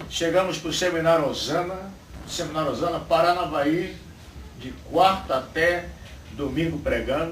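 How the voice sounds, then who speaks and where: This man talks at a moderate pace in a high pitch, with monotone, flat intonation and long, frequent pauses. Audible room echo and noticeable background noise surround his voice. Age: 60s. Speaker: pastor. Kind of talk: sermon. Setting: church.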